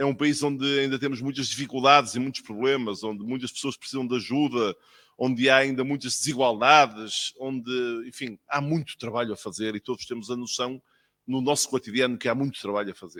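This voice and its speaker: A man with a northern Portuguese accent speaks at a fairly quick pace, medium pitch and fairly even intonation. His tone is bright and sharp, on a very clean recording with a silent background. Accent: northern Portuguese accent, noticeable. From northern Portugal. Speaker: physician, official speaker at ceremony. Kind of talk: ceremonial speech.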